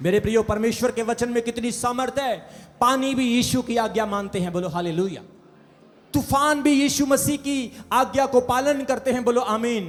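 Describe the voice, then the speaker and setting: A man talks in an energetic tone with an extremely high pitch. His pitch variation is ordinary. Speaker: preacher, pastor. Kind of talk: church sermon. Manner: energetic, call-and-response preaching.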